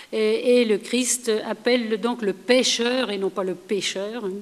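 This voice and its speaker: Speech at a very slow pace, with noticeable background noise. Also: woman. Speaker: historian, lecturer. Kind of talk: lecture.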